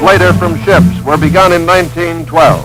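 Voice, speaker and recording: A man with a fairly high pitch speaks at a moderate pace while music plays in the background. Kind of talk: documentary narration.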